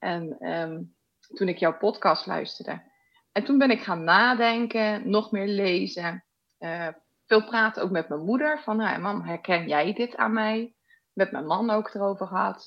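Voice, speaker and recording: This woman has an ordinary speaking voice at a medium pitch. She talks at a fairly slow pace with ordinary pitch variation. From Netherlands, Rotterdam. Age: 40s. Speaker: podcast guest sharing personal ADD story. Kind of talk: casual interview.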